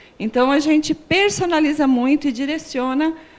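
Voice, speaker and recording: Her pitch is high as the woman speaks at a moderate pace with ordinary pitch variation. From Piracicaba region, São Paulo state, Brazil. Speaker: language consultant and TV segment presenter. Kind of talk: TV interview.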